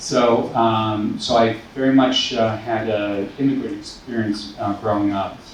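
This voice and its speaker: A man with a Boston accent speaks at a fairly slow pace with monotone, flat intonation, over noticeable background noise and audible room echo. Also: medium pitch for a man. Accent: American English, Boston area. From Taiwan, then US from age eight. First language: Mandarin Chinese. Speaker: school principal. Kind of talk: panel discussion. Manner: hesitant, many fillers.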